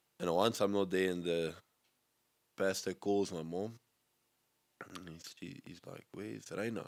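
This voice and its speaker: A man with a South African accent talks at a fairly slow pace, with long, frequent pauses. His pitch is very deep and low, with ordinary variation and big swings in loudness. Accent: Afrikaans South African English. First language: Afrikaans. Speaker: skateboarder. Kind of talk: casual chat.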